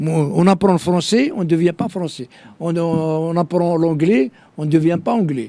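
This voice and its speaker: This man's high voice moves at a moderate pace, its pitch varying in an ordinary way. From Algeria (Kabylie). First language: Kabyle (speaking French). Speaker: political activist. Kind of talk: interview. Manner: halting, many fillers and repetitions.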